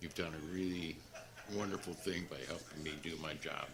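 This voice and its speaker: Audible room echo on a man's very deep, low voice. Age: 70s. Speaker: city manager. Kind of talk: farewell remarks at council meeting. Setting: city council meeting.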